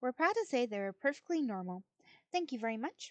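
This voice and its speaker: A woman's high voice moves in very wide pitch swings. The sound is dry and close with no echo. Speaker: streamer reading aloud. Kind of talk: reading aloud. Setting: live stream.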